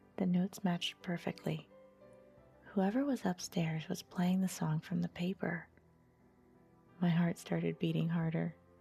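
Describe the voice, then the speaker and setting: A soft-spoken woman's calm voice at a moderate pace, with very even loudness, fairly even intonation and long, frequent pauses over music in the background. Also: fairly low pitch for a woman. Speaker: storyteller. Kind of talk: sleep story. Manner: soft-spoken, calm.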